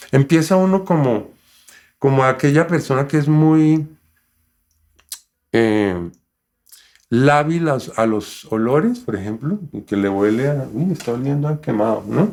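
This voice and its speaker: With lively intonation and long, frequent pauses, a man speaks at a fairly slow pace in a fairly high voice. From Colombia. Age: 60s. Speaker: cancer survivor and interpreter. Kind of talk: interview conversation. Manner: animated.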